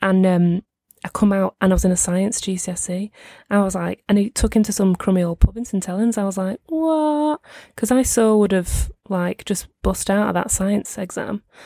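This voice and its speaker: Delivered at a moderate pace in a strong Merseyside accent, the speech has a dry, close sound with no echo. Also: woman, medium pitch for a woman, ordinary pitch variation. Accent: strong northwest English, Merseyside. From Merseyside, northwest England. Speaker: podcast co-host. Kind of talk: casual chat between friends. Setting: video call, recorded remotely, in London.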